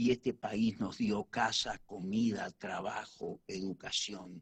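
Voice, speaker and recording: This man's voice sits fairly low in pitch and his intonation stays fairly even. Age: 70s. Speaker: guest. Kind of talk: casual chat.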